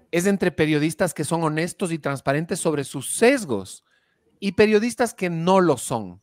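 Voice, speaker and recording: Pitched fairly high, a man speaks at a fairly slow pace with very wide pitch swings. The sound is dry and close with no echo, in a very clean recording with a silent background. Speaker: radio comedian and podcast host. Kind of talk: casual chat.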